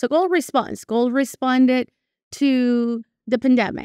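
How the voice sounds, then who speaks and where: A woman with a Spanish accent speaks in a dry, close sound with no echo against a quiet background. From Venezuela. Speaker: portfolio manager. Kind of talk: interview. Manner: conversational with hesitations.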